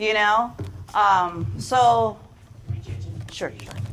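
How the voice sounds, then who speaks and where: There is noticeable background noise. A woman with a fairly high pitch speaks at a very slow pace. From Philippines. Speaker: sales presenter. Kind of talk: sales pitch.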